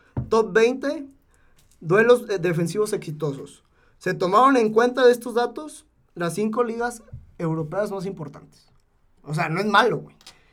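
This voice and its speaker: This man talks at a fairly slow pace. His voice sits high in pitch. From Zacatecas, Mexico. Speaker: football podcast co-host. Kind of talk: casual sports chat.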